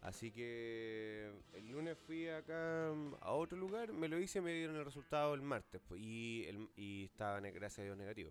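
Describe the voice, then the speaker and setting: At a medium pitch, a man's voice moves through very wide pitch swings. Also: moderate pace. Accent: Chilean. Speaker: podcast host. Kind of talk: casual chat.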